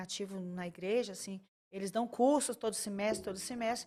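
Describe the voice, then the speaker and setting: A woman talks at a moderate pace in a medium pitch, her intonation fairly even. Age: 60s. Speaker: talk show host and church couples counselor. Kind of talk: interview. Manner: halting, frequent restarts.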